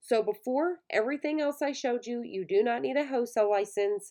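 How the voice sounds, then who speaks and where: Against a quiet background, a woman talks in a Southern US accent at a fairly high pitch. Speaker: online shop owner, YouTuber. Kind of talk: casual tutorial. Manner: fast.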